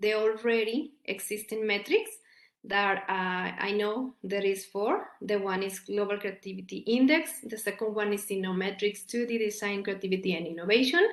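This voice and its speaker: A woman speaks with a Mexican accent at a fairly high pitch. Her pitch variation is ordinary. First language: Spanish. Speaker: academic researcher. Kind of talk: conference presentation. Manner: halting, with many repetitions and fillers.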